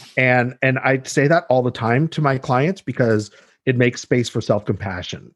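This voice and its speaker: A man with a Californian accent, very even loudness, ordinary pitch variation and a quiet background. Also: medium pitch for a man, moderate pace. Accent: Californian American English. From Los Angeles. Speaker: dietitian. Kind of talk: interview conversation. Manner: halting, many repetitions.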